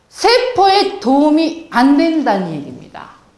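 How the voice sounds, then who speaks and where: A woman's high-pitched voice moves in very wide pitch swings. Audible room echo surrounds it. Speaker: health lecturer. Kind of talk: lecture.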